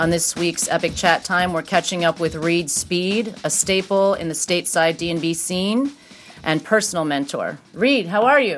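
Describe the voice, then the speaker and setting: A woman's fairly low-pitched, fairly slow voice over background music. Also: ordinary pitch variation. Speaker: radio DJ co-host. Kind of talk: radio DJ patter, interview.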